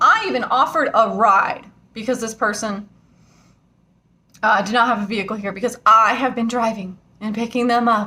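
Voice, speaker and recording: Ordinary pitch variation from a woman with a fairly high pitch. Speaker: vlogger. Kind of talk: angry rant to camera. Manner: loud, yelling; emotional.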